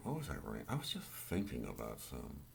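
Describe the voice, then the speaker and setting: There is audible room echo as a man with an American accent talks with very wide pitch swings and vocal fry. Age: 60s. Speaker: amateur political commentator. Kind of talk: political rant monologue. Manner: halting, self-correcting.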